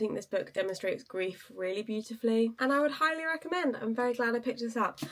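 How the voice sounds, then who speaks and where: A woman is speaking. Her pace is very fast. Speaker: book vlogger. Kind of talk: casual vlog talk to camera.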